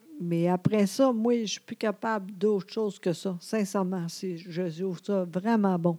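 A woman with a Quebec accent talks at a fairly slow pace with hardly any pauses, her medium-pitched voice dark and mellow in tone and fairly even in intonation. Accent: Québécois French. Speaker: podcast co-host. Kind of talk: casual chat. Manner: trying to speak slowly, sometimes halting.

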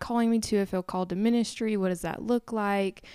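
Speaking at a moderate pace, a woman uses an ordinary speaking voice at medium pitch with fairly even intonation. The recording is very clean, with a silent background. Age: 20s. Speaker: missionary. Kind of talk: casual chat.

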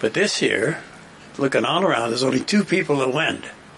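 A man with a Canadian accent speaks at a fairly quick pace and medium pitch. His intonation is lively, and there is noticeable background noise. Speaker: political panelist. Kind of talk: casual panel discussion.

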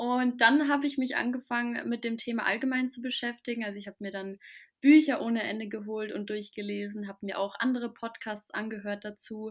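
A plain, everyday voice from a woman, fairly high-pitched and fairly quick, with fairly even intonation and big swings in loudness. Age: 20s. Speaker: spiritual content creator. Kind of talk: casual chat.

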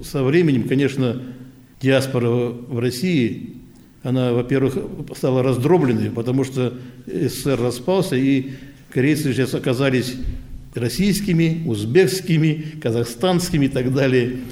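A man speaking at a fairly slow pace with long, frequent pauses, ordinary pitch variation and audible room echo. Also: medium pitch for a man. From Central Asia, then Primorye. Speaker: veterans' council chairman, Korean diaspora elder. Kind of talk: interview. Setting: Korean cultural centre.

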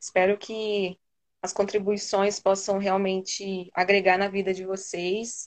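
This woman speaks in a monotone with flat intonation. Her pace is very slow. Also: medium pitch for a woman. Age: 20s. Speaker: psychologist. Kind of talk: casual chat.

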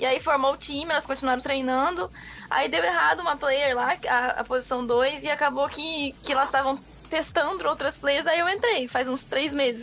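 Noticeable background noise sits behind a woman with a high pitch and ordinary pitch variation. She keeps a moderate pace and very even loudness. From interior of São Paulo state, Brazil. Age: 20s. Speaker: professional esports player. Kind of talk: casual radio interview.

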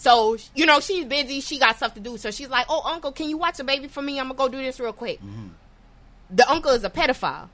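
A woman with an American accent speaks very fast in a high pitch, her tone bright, sharp and animated, with ordinary pitch variation. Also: big swings in loudness. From New York. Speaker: podcast host. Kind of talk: casual chat.

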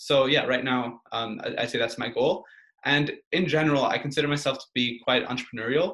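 At a fairly quick pace, a man with a fairly high pitch speaks in a plain, everyday voice with ordinary pitch variation. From Portugal, Belgium and Canada. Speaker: university student. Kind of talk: casual interview.

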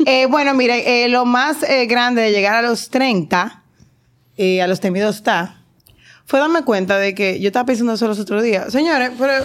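A woman speaks at a high pitch and a moderate pace. The recording is very clean with a silent background, and her loudness stays very even. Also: ordinary pitch variation. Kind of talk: casual chat.

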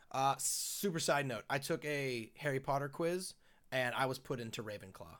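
On a very clean recording with a silent background, a man has a plain, everyday voice. His pitch is medium and his pace moderate. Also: ordinary pitch variation. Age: 30s. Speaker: gaming podcast host. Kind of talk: casual chat. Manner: many fillers (um, uh).

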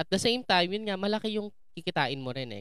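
A woman's animated tone in a very clean recording with a silent background. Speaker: podcast host. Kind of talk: interview.

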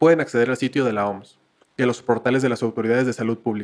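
This man has a medium-pitched voice. He speaks very rapidly and keeps his intonation fairly even. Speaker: podcast co-host. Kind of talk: scripted announcement; casual chat. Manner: formal.

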